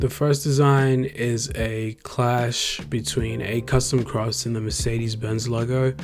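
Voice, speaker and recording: Over music in the background, the speech moves at a fairly slow pace with hardly any pauses and ordinary pitch variation. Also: man, medium pitch for a man. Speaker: graphic designer, YouTuber. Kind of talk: tutorial-style vlog narration. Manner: casual, with filler ums.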